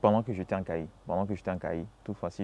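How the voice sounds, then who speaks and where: A dark, mellow tone at a very fast pace. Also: man. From Congo-Brazzaville, Nkayi. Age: 20s. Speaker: agronomy student. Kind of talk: interview. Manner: halting, many fillers and repetitions.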